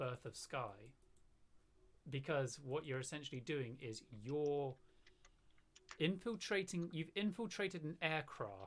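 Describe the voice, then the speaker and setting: A man talks with a slight southern British accent. His pitch is fairly high and his intonation lively. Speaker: gamer. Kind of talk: casual chat.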